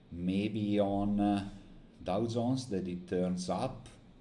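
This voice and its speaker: A man's very deep, low voice with a dark, mellow tone, ordinary pitch variation and a very slow pace, with audible room echo. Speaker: day trader streamer. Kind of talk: live trading stream commentary. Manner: halting, many fillers.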